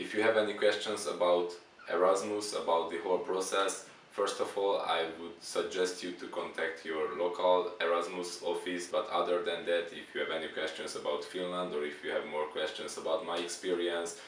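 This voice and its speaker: In a recording with audible room echo and noticeable background noise, a man speaks with a Hungarian accent. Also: moderate pace. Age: 20s. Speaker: exchange student. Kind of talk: interview. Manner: halting.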